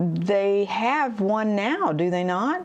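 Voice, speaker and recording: Ordinary pitch variation in a woman's speech, set against a hushed background. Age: 60s. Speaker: livestream host, camera hobbyist. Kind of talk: casual livestream chat. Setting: livestream, sitting at home. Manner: halting, many fillers.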